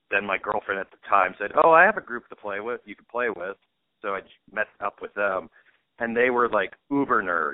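Speaking at a moderate pace in a plain, everyday voice, a man keeps a fairly low pitch with ordinary pitch variation and big swings in loudness. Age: 30s. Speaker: comedian. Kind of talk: casual chat.

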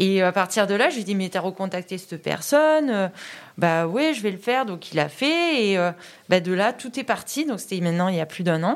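An ordinary speaking voice from a woman, medium in pitch, with lively intonation at a moderate pace. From Vaucluse, Provence. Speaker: PE teacher. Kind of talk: interview.

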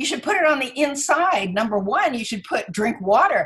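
The pitch swings very widely while the speech keeps a medium tempo. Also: woman. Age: 80s+. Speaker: physician and author. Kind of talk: interview.

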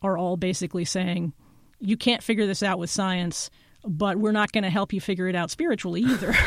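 A woman with an ordinary speaking voice, medium pitch, fairly quick pace and fairly even intonation, in a very clean recording with a silent background. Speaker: journalist and podcaster. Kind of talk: casual chat.

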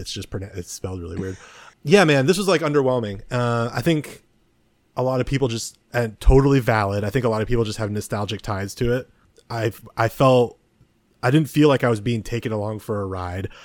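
A man's medium-pitched voice in a Californian accent, fairly quick in pace, with ordinary pitch variation. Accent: General American (Californian). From US West Coast (San Mateo, California). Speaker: podcast co-host. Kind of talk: casual chat. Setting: video call.

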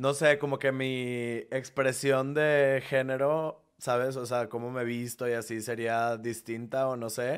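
A man at medium pitch, fairly slow yet with hardly any pauses, in a monotone, flat intonation. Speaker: content creator who moved to a new city. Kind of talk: casual chat.

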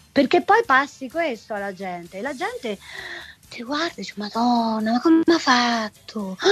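Over music in the background, a woman speaks at a fairly slow pace with a high pitch, lively intonation and big swings in loudness. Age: 50s. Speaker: singer. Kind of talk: casual interview. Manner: animated.

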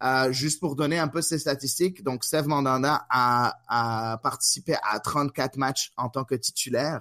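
A man at medium pitch with a bright, sharp tone speaks at a fairly slow pace, with hardly any pauses. The sound is dry and close with no echo, and the recording is very clean with a silent background. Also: fairly even intonation, very even loudness. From Quebec, Montreal. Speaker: podcast host. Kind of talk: casual chat.

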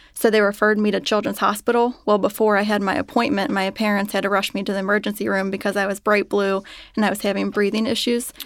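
Speaking at a very fast pace, a woman with a Midwestern American accent keeps a monotone, flat intonation. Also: medium pitch for a woman. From Cincinnati, Ohio, US Midwest. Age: 30s. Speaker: patient, mother. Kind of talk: interview, personal testimony. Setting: studio.

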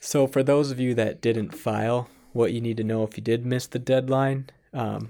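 A man with an American accent talks in a dark, mellow tone. His pace is moderate and his intonation fairly even. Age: 40s. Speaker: podcast co-host. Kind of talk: casual chat.

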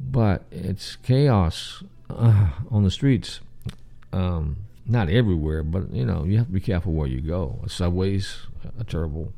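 A man speaks at a fairly slow pace in a Southern US accent, his pitch very deep and low. His tone is dark and mellow, and his intonation is lively. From US South. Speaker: podcast host. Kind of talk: casual solo stream-of-consciousness talk. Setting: home, late night, live stream. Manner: rambling, casual.

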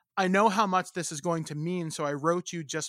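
Heard on a very clean recording with a silent background, a man with a Canadian accent speaks fairly quickly in a high pitch, his tone bright and sharp and the sound dry and close with no echo. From Ontario, Canada. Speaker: podcast host. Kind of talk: interview conversation.

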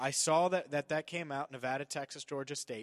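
This man has a plain, everyday voice with an American accent, a fairly high pitch and ordinary pitch variation. He talks at a moderate pace, and the sound is dry and close with no echo. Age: 20s. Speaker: sports radio host. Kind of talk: casual sports talk.

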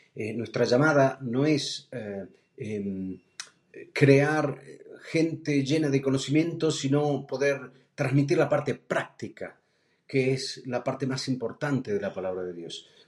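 Very slowly, a man talks, his pitch varying in an ordinary way. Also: medium pitch for a man. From Argentina, Buenos Aires. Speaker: preacher. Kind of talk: sermon. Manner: halting.

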